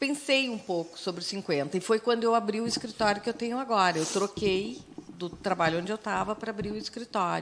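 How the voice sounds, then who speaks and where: A woman speaks at a moderate pace and medium pitch. She has a plain, everyday voice with lively intonation. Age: 60s. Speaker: radio host. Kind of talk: casual chat.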